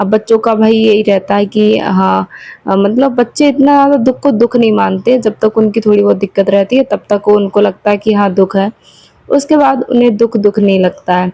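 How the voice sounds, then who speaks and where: The woman's voice is fairly high in pitch with ordinary pitch variation, heard as a dry, close sound with no echo. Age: 20s. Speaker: homemaker vlogger. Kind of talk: casual vlog talk. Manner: hesitant fillers.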